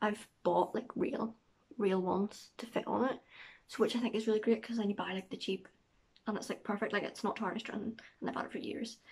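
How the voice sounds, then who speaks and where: A woman with a Northern Irish accent talks at a very fast pace in a monotone, flat intonation, her voice somewhat breathy. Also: fairly high pitch for a woman. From Northern Ireland. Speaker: vlogger. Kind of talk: casual vlog talk to camera.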